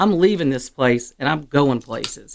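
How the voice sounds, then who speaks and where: In a very clean recording with a silent background, a woman with an American accent talks at a moderate pace, her very deep, low pitch carrying lively intonation. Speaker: chamber of commerce executive director. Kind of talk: casual interview. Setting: radio studio.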